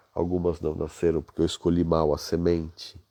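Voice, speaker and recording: Very deep, low-pitched, soft-spoken male voice with a dark, mellow tone, dry and close with no echo over a quiet background. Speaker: business leadership coach. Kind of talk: live stream talk. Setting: hotel room at night.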